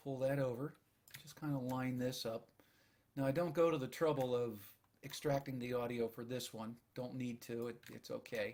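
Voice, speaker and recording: A soft-spoken man at a moderate pace, medium in pitch. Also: fairly even intonation. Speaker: audio engineer. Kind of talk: screen-recorded tutorial narration.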